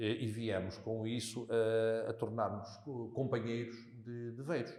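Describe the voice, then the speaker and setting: Amid audible room echo, a man talks at a fairly slow pace in a monotone, flat intonation. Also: medium pitch for a man. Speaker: local politician. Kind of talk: interview conversation. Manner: hesitant, many fillers.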